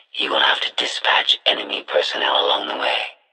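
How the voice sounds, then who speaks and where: In a put-on character voice, a man delivers his lines at a moderate pace. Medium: video game. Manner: clipped, formal, emotionless.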